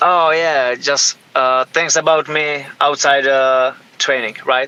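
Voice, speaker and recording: A man with a Czech accent speaks very slowly at a fairly high pitch. His loudness is very even and his intonation monotone and flat. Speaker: professional MMA fighter. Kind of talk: interview. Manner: halting, many hesitations.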